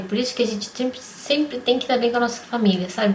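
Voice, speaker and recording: Very fast female speech with fairly even intonation and noticeable background noise. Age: 30s. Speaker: vlogger. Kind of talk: personal vlog testimony. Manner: casual.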